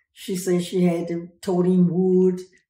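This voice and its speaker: The room echo is audible. A woman speaks with a fairly low pitch and a dark, mellow tone. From rural farm upbringing. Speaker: family caregiver. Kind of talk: interview answer. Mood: warm, relaxed reminiscing. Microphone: phone near.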